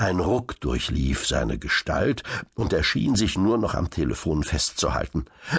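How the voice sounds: Lively intonation in a natural reading voice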